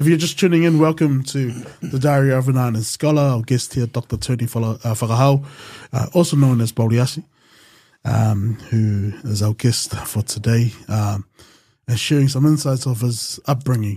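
A man with a New Zealand accent talks at a moderate pace against a quiet background. His tone is dark, mellow and somewhat breathy, with ordinary pitch variation. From New Zealand, Pacific Islander community. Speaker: podcast host. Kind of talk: podcast interview. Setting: studio with camera. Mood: warm, calm. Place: studio. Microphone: studio mic.

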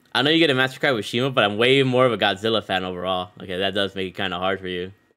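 A man's fairly low voice, very fast and animated in tone, with ordinary pitch variation over a quiet background. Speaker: gaming streamer. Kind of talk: live gameplay commentary. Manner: casual, animated. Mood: upbeat, friendly. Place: home room.

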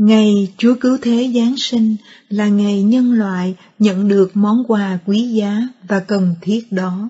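A woman's somewhat breathy, fairly high voice at a very slow pace, with fairly even intonation. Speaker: prayer segment narrator. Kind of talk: scripted narration.

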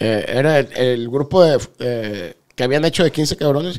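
Pitch shifts in an ordinary way. Behind the voice, the background is quiet. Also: man. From Guadalajara, Mexico. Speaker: former cartel member; podcast host or guest. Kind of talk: interview. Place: studio. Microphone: studio mic.

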